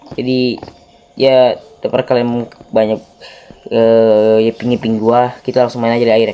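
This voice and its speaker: Noticeable background noise sits under a voice that moves at a fairly quick pace in a monotone, flat intonation. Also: man. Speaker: gaming youtuber. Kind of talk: gameplay commentary. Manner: casual, informal slang.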